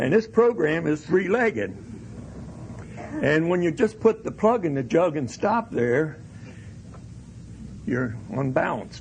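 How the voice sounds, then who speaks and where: Fairly high-pitched male speech with very wide pitch swings over noticeable background noise. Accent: American. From Pennsylvania Dutch country, US. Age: 70s. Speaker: recovery speaker. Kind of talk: AA speaker talk.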